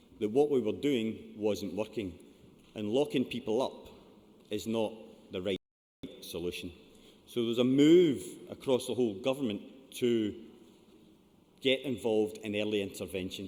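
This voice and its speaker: In a strong Scottish accent, a man with a medium pitch and a dark, mellow tone talks at a moderate pace with ordinary pitch variation and long, frequent pauses. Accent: thick Scottish. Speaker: charity programme manager. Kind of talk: conference presentation.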